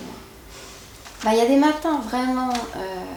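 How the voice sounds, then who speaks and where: Pitched high, a woman speaks with ordinary pitch variation over noticeable background noise and audible room echo. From Quebec. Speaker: YouTuber. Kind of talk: interview. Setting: at her home. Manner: hesitant, many fillers and repetitions.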